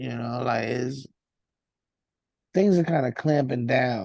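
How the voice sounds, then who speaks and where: In a New York accent, a man's voice carries a dark, mellow tone. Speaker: rapper. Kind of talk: casual interview.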